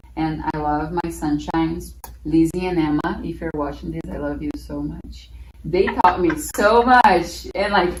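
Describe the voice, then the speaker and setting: A woman is speaking with audible room echo. There is noticeable background noise as well. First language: Portuguese. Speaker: former au pair, festival guest. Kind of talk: casual conversation.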